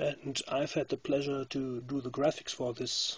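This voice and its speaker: A somewhat breathy man at a fairly slow pace. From Germany. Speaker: game graphics artist. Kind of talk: gameplay commentary. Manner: halting, many fillers.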